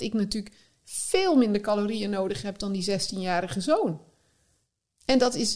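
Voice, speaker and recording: Lively intonation in a woman's dark, mellow tone. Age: 40s. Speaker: eating psychologist. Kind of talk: casual interview.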